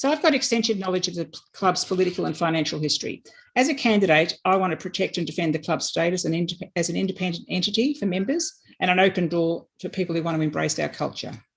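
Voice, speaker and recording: Very fast, lively speech from a woman at medium pitch, with an Australian accent. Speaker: election candidate. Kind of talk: campaign speech.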